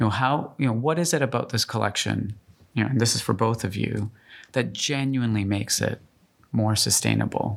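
At a fairly quick pace, a man with a Canadian accent and medium pitch uses a plain, everyday voice with ordinary pitch variation and very even loudness in a very clean recording with a silent background. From Canada, Calgary. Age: 40s. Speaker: podcast host and fashion editor. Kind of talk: interview. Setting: studio.

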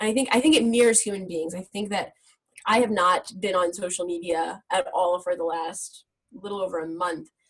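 With an American accent, a woman speaks in an unremarkable speaking voice. Her pitch is medium and her pace moderate. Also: ordinary pitch variation. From US Midwest and Israel. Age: 20s. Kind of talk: casual interview.

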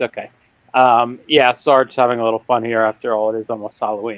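A man at a moderate pace, his tone clear and smooth, in a dry, close sound with no echo

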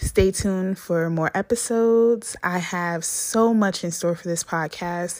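An American-accented woman speaks at a medium pitch in an animated tone. She goes at a fairly slow pace with hardly any pauses. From New Jersey. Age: 20s. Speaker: podcast host. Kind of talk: casual monologue. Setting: recording in a bathtub.

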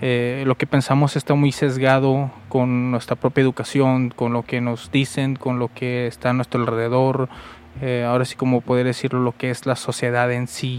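Speaking with monotone, flat intonation, a man at a medium pitch keeps a moderate pace. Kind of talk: late-night solo monologue. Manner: halting, many fillers.

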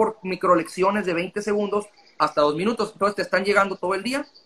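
A man talks at a high pitch. There is noticeable background noise. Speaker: language school director. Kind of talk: casual interview.

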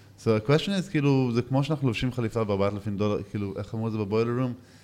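At a very fast pace, a man talks in a dark, mellow tone with ordinary pitch variation. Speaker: podcast co-host. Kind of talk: casual interview chat.

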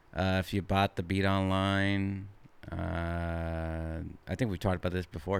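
The recording is very clean, with a silent background. The speaker has an American accent. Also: man. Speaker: podcast host. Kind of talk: casual chat between friends. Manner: animated, profanity-heavy, slangy.

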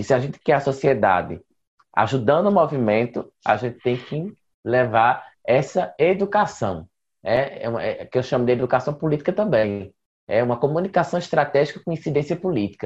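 Somewhat breathy, a man moves at a moderate pace with very wide pitch swings over a quiet background. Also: fairly high pitch for a man. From Pernambuco interior, Brazil. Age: 20s. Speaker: LGBT rights activist. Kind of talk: panel discussion.

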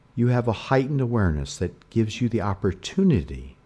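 A man's soothing, dark, mellow voice at a medium pitch. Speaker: hypnotherapist. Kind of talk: guided meditation. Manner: slow.

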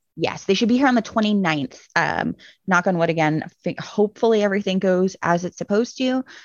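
A woman's plain, everyday voice at a fairly quick pace, with ordinary pitch variation. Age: 30s. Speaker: children's book author and artist. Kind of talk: casual chat.

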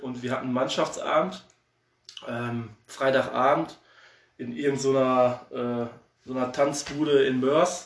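The speech comes at a very slow pace with ordinary pitch variation. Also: man, medium pitch for a man. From Oberhausen, Ruhr area, Germany. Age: 30s. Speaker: amateur football assistant coach. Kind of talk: casual interview. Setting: remote call.

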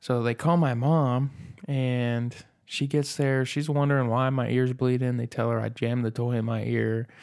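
A man of medium pitch talks in an unremarkable speaking voice with fairly even intonation. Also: very clean recording, silent background. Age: 20s. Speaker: podcast host. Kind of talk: casual chat.

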